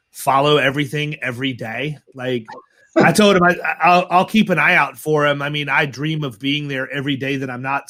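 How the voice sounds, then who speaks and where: Bright and sharp in tone, a man with a fairly high pitch speaks animatedly at a moderate pace. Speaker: podcast host. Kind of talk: casual chat.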